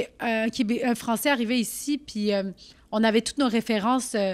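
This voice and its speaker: On a very clean recording with a silent background, a woman speaks at a moderate pace in a fairly high pitch. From Quebec, Saint-Jean-sur-Richelieu, Turkish family. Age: 30s. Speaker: comedian. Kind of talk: casual chat. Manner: loud; animated.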